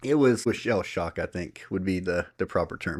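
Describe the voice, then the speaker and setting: A man speaks with a Southern US accent. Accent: Southern US country. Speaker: podcast co-host. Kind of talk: casual chat. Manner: animated.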